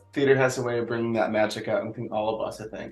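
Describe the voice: A man talks at a fast pace and a fairly low pitch, with fairly even intonation. Audible echo from the room surrounds his voice.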